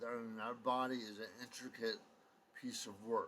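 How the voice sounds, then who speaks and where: At a moderate pace, a man talks at a medium pitch. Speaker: vlogger. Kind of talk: casual monologue vlog. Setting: at home at night. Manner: hesitant, many fillers.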